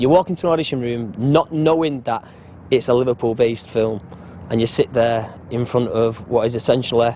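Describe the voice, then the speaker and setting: A man talks at a fairly quick pace in a medium pitch, with noticeable background noise behind him. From Salford, Greater Manchester, England. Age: 20s. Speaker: actor. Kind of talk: casual interview.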